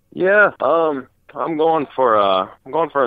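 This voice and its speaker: A man is speaking. His accent is slightly Upper Midwest. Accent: slight Upper Midwest. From Wisconsin, US. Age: 20s. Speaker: off-road racer. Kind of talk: casual interview. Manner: many fillers, 'you know'.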